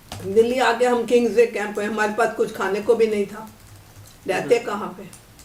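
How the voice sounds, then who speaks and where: Over noticeable background noise, a woman speaks at a moderate pace and fairly high pitch with monotone, flat intonation. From Lahore, Pakistan. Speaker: partition survivor. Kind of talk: interview answer. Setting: home. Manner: candid, unguarded.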